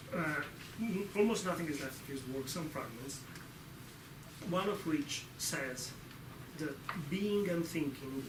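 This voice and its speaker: Over noticeable background noise and audible room echo, a man with a fairly high pitch talks at a fairly slow pace with ordinary pitch variation and long, frequent pauses. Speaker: lecturer. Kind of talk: lecture.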